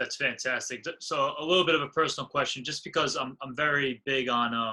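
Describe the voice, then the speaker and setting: A man talks at a fairly quick pace. His tone is bright and sharp. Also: fairly high pitch for a man, ordinary pitch variation. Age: 20s. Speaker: podcast host. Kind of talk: interview question.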